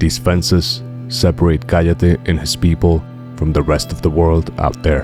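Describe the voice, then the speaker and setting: Very deep, low male voice with very wide pitch swings, a fairly slow pace, and music in the background. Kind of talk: documentary narration.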